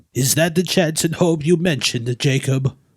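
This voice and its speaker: In a put-on character voice, a man talks at a moderate pace and a fairly high pitch. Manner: faltering.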